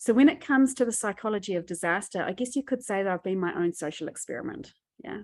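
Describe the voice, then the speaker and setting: Medium-pitched woman with a New Zealand accent and lively intonation. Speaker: disaster psychology expert. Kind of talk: webinar presentation. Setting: video call.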